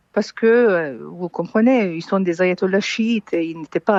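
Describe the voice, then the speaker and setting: With a plain, everyday voice, a woman speaks at a medium pitch with ordinary pitch variation. The sound is dry and close, with no echo. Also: quiet background. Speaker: exiled political analyst. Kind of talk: radio interview.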